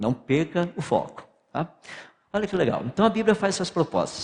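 Pitch swings very widely in this man's speech, and vocal fry runs through it. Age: 60s. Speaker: physicist and creationist lecturer. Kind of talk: lecture.

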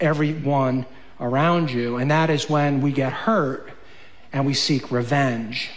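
A fairly high-pitched man at a fairly slow pace with fairly even intonation, over noticeable background noise. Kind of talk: sermon. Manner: intense, impassioned, voicing vengeful bitterness in a mocking, biting tone.

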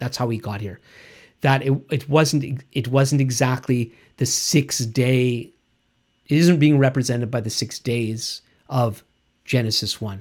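A man speaks with a somewhat breathy voice and long, frequent pauses. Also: medium pitch for a man, fairly even intonation, fairly slow pace. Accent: Canadian. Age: 60s. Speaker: Bible teacher. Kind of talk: teaching talk.

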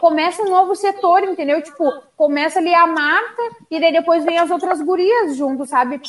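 Speaking at a moderate pace with a southern Brazilian accent, a woman uses lively intonation at an extremely high pitch. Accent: gaúcho. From Rio Grande do Sul, Brazil. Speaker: sports show host. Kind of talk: casual chat about football.

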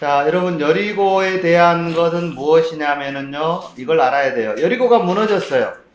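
Pitched high for a man, his voice moves at a moderate pace with ordinary pitch variation and hardly any pauses. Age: 50s. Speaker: Bible teacher. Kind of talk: lecture. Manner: halting, many fillers and repetitions.

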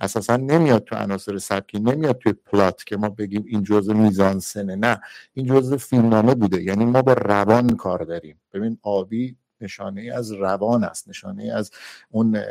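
A man talks at a fairly quick pace, his pitch fairly low with ordinary variation. The recording is very clean, with a silent background. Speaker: film critic panelist. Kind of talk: film analysis discussion. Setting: Clubhouse audio room.

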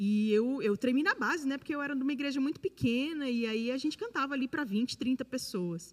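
Speaking at a fairly quick pace with hardly any pauses, a woman's high voice carries lively intonation. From Brasília, Brazil. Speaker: worship singer. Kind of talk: testimony.

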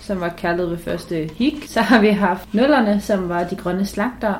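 Noticeable background noise runs under this woman's voice. Her pitch is medium, with ordinary pitch variation. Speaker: student podcast co-host. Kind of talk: casual chat.

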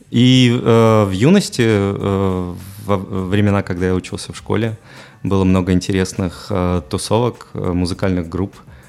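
A man speaks with a very deep, low pitch at a fairly slow pace. His pitch varies in an ordinary way, with music in the background. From Belarus, Mogilev. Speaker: photographer and DJ. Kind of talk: casual interview. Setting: radio studio. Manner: hesitant, many fillers.

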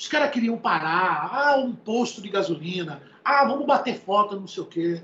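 With lively intonation, the man delivers his words at a moderate speed. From interior of São Paulo state, Brazil (Piracicaba). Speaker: music producer. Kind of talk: casual interview chat.

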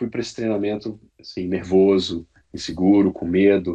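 A man speaks at a moderate pace in a dark, mellow tone with a fairly low pitch. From Brazil, Brasília region. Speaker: airline pilot. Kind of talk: interview.

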